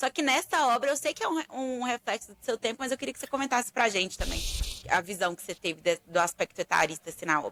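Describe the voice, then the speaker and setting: A woman's high, bright, sharp voice at a very fast pace, dry and close with no echo. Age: 30s. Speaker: podcast co-host. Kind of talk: podcast discussion. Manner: casual, humorous.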